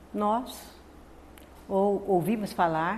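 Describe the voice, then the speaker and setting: Intonation remains fairly even throughout. Audible echo from the room surrounds the voice. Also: woman. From Northeast Brazil. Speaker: spiritist lecturer. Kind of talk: spiritist lecture. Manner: soft-spoken.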